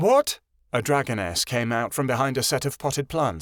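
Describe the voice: Quiet surroundings, ordinary pitch variation and plain reading aloud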